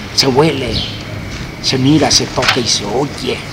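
A male voice over noticeable background noise. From Mexico. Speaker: writer and newspaper columnist. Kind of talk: interview answer. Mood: warm, contented, reflective. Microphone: handheld.

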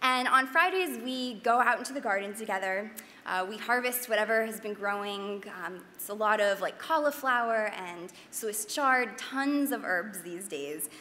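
A woman with a fairly high pitch and a bright, sharp tone speaks with lively intonation and big swings in loudness. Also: moderate pace. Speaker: chef and nutrition educator; presenter. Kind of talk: panel talk with slides. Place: hall. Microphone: podium.

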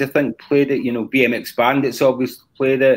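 The pace is moderate. The speaker has a Scottish accent. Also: man. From Scotland. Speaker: rock drummer and singer. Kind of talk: casual interview. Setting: live-streamed video call. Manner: halting. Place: home room.

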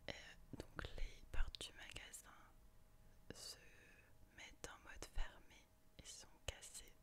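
A woman whispers at a very slow pace. Her speech has long, frequent pauses. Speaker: ASMR creator. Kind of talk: ASMR book review. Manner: whispered. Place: home room. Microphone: studio mic.

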